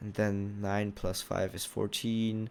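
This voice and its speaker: A man's fairly low voice with a non-native accent, on a very clean recording with a silent background. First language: not English. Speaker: gaming YouTuber. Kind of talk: gameplay commentary. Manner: halting.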